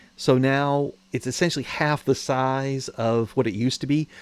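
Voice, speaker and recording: With an unremarkable speaking voice, a man at medium pitch talks with fairly even intonation in a dry, close sound with no echo. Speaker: gaming youtuber. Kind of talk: gameplay tutorial.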